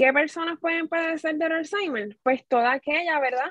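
In a dry, close sound with no echo, a woman speaks with a Puerto Rican accent. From Puerto Rico, Corozal. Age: 30s. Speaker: home care nurse supervisor. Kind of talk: radio interview.

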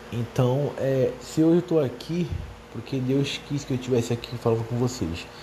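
Noticeable background noise sits behind a man speaking at a moderate pace. His pitch is medium and his intonation lively. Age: 20s. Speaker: history teacher, podcaster. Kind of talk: solo casual podcast monologue. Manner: hesitant, many fillers.

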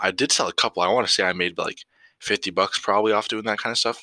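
On a very clean recording with a silent background, a man's bright, sharp voice has ordinary pitch variation and a dry, close sound with no echo. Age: young (18). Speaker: podcast host, young entrepreneur. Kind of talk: casual solo monologue. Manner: unscripted, with frequent fillers.

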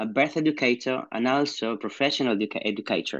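With a Spanish accent, a man speaks at a fairly quick pace and with ordinary pitch variation against a quiet background. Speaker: midwife, podcast host. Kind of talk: interview.

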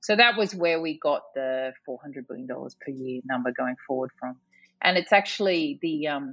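A woman speaks with an Australian accent at a very deep, low pitch. Her intonation is lively, her pace moderate, and music plays in the background. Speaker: climate policy expert. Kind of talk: interview.

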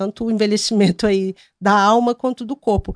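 Over a quiet background, a woman talks at a fairly quick pace in a dry, close sound with no echo. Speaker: journalist and youtuber. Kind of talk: casual chat.

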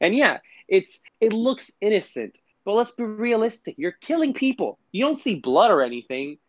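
A man with a Puerto Rican accent speaks at a moderate pace in a high voice with very wide pitch swings, in a dry, close sound with no echo. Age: 20s. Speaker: podcast co-host. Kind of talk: casual chat.

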